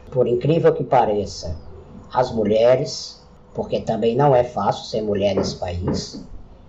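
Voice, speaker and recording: Noticeable background noise sits behind a man speaking at a medium pitch. His pitch varies in an ordinary way. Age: 40s. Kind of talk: solo podcast monologue.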